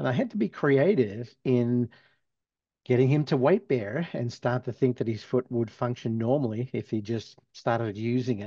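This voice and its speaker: At a moderate pace, a man with a medium pitch and a dark, mellow tone speaks with ordinary pitch variation in a dry, close recording with no echo and a quiet background. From Australia. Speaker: physical therapist and professor. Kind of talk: interview.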